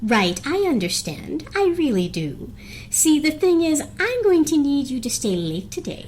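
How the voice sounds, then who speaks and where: A put-on character voice, female-sounding and high-pitched, at a moderate pace over clear background noise. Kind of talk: dramatic comic reading.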